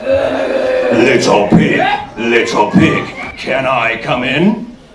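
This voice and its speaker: A gruff, put-on character voice speaks at a very slow pace. There is slight echo and clear background noise. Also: man, fairly high pitch for a man. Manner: menacing.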